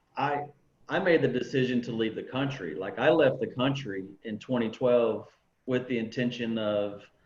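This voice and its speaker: A man with a Texan accent speaks at a fairly slow pace. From Texas. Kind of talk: casual chat. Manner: casual, filler-heavy.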